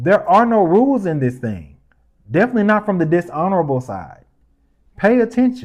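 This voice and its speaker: A man with a high pitch speaks at a fairly quick pace against a quiet background. His tone is animated and passionate, with very wide pitch swings. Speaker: podcast host. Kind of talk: news commentary podcast. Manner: animated, passionate; calmer, measured.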